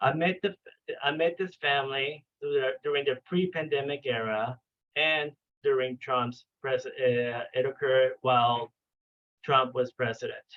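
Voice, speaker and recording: In a Spanish accent, a man speaks at a fairly slow pace and fairly high pitch. His loudness is very even, and his pitch varies in an ordinary way. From Venezuela. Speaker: clinical psychologist. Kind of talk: training lecture. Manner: halting, with many fillers and restarts.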